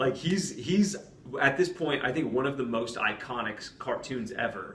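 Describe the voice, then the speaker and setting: Noticeable background noise sits behind a man at a medium pitch. He moves at a moderate pace with lively intonation. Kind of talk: casual podcast conversation. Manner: soft-spoken.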